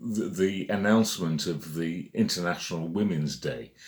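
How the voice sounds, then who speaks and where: A man is speaking. He has a British accent. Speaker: magazine editor. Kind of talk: casual monologue. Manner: halting, many fillers.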